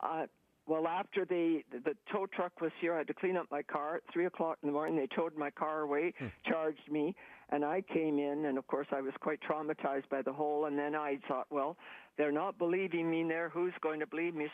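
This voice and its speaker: Very deep, low female voice with fairly even intonation, very even loudness and a fairly quick pace. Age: 80s+. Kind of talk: interview answer. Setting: phone line.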